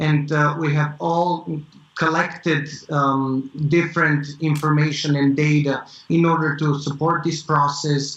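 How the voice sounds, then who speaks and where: A man at a fairly high pitch, fairly slow and monotone, with flat intonation and very even loudness. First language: not English. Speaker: tech startup founder. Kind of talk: interview. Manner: halting, many fillers.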